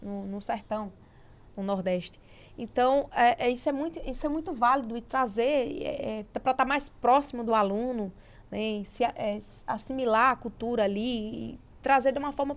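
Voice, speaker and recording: A woman talks at a moderate pace with lively intonation. Her pitch is high. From Brazilian Northeast, interior of Sergipe. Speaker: podcast host. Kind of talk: interview.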